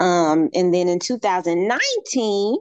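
Lively intonation and a Southern US accent come through in a dry, close sound with no echo. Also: woman. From Alabama, US South. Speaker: fitness instructor. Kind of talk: casual interview.

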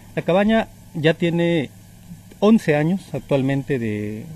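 Speaking very slowly, a man uses a dark, mellow tone that is somewhat breathy. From Mexico, Morelos and Puebla. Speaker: hotel owner. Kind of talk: radio interview. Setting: outdoors by a hotel pool.

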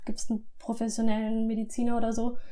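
A dark, mellow, somewhat breathy voice with monotone, flat intonation at a fairly quick pace. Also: woman. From southwestern Germany (Lörrach, Baden). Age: 20s. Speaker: medical student recounting illness. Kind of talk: testimony.

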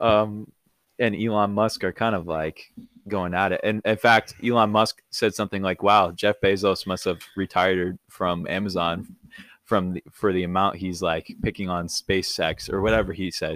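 In a dry, close sound with no echo, a man uses an ordinary speaking voice at a fairly low pitch, a moderate pace and fairly even intonation. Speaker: podcast host. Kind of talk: casual chat. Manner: laid-back, filler words.

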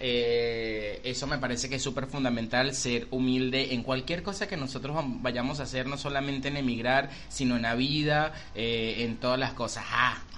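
The room lends an audible echo to a man's voice. He speaks at medium pitch and a moderate pace. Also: fairly even intonation. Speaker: podcast co-host and makeup artist. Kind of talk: casual chat.

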